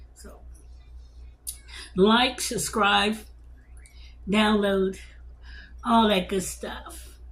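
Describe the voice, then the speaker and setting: Very slow speech with long, frequent pauses comes across with audible room echo. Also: woman. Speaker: cooking channel host. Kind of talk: casual cooking video talk. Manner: halting, repeating words.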